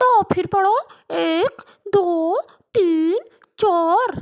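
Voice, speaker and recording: A woman puts on a cartoonish character voice. Her pitch is extremely high. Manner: scolding.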